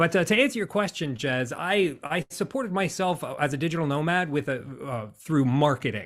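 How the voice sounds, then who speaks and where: A man with an American accent and lively intonation at a moderate pace, on a very clean recording with a silent background. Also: fairly high pitch for a man, hardly any pauses. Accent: American, sometimes taken for Canadian. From United States. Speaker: business coach and speaker. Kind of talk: podcast interview. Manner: animated.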